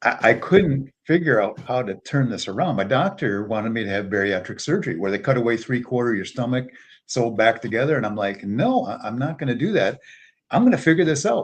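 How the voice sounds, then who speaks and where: A man talks in an ordinary speaking voice at a fairly quick pace. His intonation is lively, against a quiet background. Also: medium pitch for a man. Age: 60s. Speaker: health testimonial panelist. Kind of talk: personal testimony.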